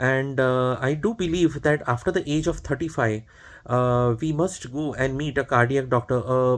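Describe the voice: The man's voice sits at a medium pitch and varies in an ordinary way.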